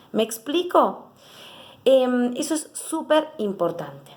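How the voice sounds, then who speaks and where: A woman speaks over noticeable background noise. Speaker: psychologist. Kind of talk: educational talk to camera. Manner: fast; animated.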